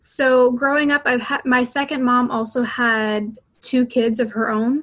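With an American accent, a woman speaks in a somewhat breathy voice. Her intonation is monotone and flat. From Florida, US. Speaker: donor-conceived person. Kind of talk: interview.

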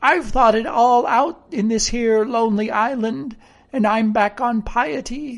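The reading here is done in an unforced reading voice.

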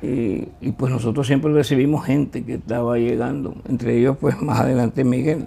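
Noticeable background noise sits behind this man's voice. He speaks at medium pitch with hardly any pauses. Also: ordinary pitch variation, moderate pace. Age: 70s. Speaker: veteran sports journalist. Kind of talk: interview.

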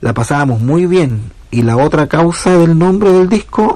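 Pitch varies in a normal way as the words come at a very slow pace. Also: man. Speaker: musician. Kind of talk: recorded self-presentation.

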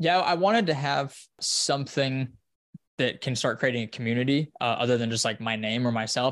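A man with an American accent has an ordinary speaking voice at a medium pitch. He keeps a moderate pace against a quiet background. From Wyoming, US. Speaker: running coach and content creator. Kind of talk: casual interview.

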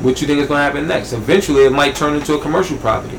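Amid noticeable background noise and audible room echo, a man with an American accent talks at a very fast pace, his fairly high pitch showing ordinary variation. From Southeast Queens, New York. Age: 30s. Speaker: barber and entrepreneur. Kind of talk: casual interview.

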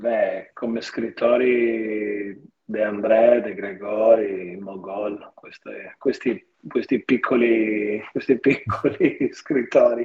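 A man speaks at a very slow pace, his loudness swinging widely. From Pordenone, Friuli, Italy. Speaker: singer-songwriter. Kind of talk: casual interview.

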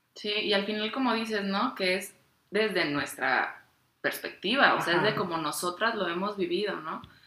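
In a room with audible echo, a woman speaks at a moderate pace and medium pitch with ordinary pitch variation. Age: 20s. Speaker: podcast co-host, ceramic artisan. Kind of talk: casual chat.

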